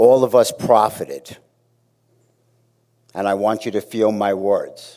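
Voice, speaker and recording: A man talks with a Brooklyn accent. His speech has long, frequent pauses. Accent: New York (Brooklyn). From Brooklyn, New York. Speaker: fitness staff member. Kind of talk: memorial eulogy. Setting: auditorium memorial gathering.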